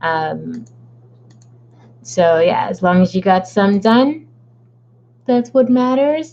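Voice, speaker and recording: A woman with a dark, mellow tone and medium pitch speaks very slowly, with very wide pitch swings and long, frequent pauses. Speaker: author livestreaming a writing session. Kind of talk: casual livestream chat. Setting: livestream from home.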